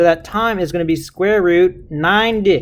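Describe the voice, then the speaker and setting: Here a man speaks with ordinary pitch variation. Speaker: physics teacher. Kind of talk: tutorial. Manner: fast; casual, informal.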